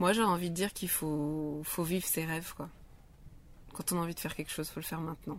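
Very fast delivery with fairly even intonation. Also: woman, fairly low pitch for a woman. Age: 30s. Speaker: hairdresser and rally participant. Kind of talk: casual interview. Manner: halting.

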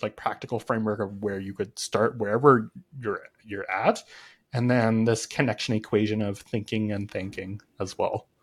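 A man with a Canadian accent uses a normal speaking voice at a medium pitch. He talks at a moderate pace on a very clean recording with a silent background. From Canada. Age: 20s. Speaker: connection coach. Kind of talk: interview conversation.

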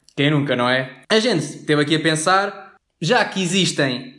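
A man's high-pitched voice with ordinary pitch variation, at a fairly slow pace, in audible room echo. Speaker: podcast co-host. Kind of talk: comedic scripted banter.

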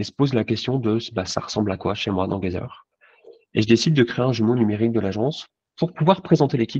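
A man speaks very fast at a medium pitch with ordinary pitch variation, in a dry, close sound with no echo. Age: 40s. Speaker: insurance agent. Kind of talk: casual interview.

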